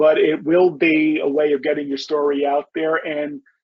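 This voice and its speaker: In a Bronx accent, a man talks with a fairly high pitch. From New York City, the Bronx. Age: 50s. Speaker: novelist. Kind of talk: interview.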